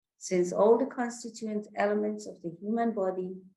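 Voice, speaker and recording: A woman talks at a fairly slow pace in a dark, mellow, somewhat breathy tone. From Iran. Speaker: consultant psychiatrist. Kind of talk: religious talk / lecture.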